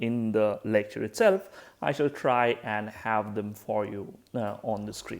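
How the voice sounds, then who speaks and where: On a very clean recording with a silent background, a man talks fairly slowly. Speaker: physics lecturer. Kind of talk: lecture. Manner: hesitant, many fillers; trying to speak louder.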